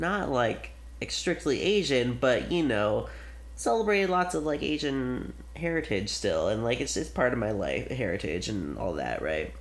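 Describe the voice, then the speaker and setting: A man mumbling at a moderate pace, with audible room echo. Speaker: film podcast host. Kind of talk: casual chat. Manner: animated.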